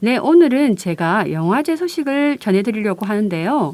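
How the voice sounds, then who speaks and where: This woman speaks in a strong Gyeongsang accent at a fairly slow pace. Her fairly high pitch makes very wide swings. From Busan, South Korea. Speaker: community radio co-host, culture news. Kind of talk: radio chat.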